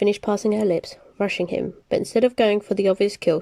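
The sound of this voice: Fairly even in intonation, the speaker uses an unforced reading voice.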